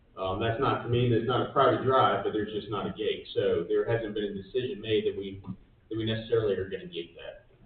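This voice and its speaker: Speaking very fast, a man is heard against noticeable background noise. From Georgia, Gwinnett County. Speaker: real estate developer. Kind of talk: answering questions at public meeting. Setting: county commission meeting room.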